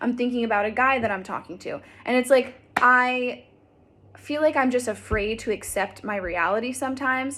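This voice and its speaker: A woman's ordinary speaking voice at a moderate pace, with ordinary pitch variation. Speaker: vlogger. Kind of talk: casual vlog.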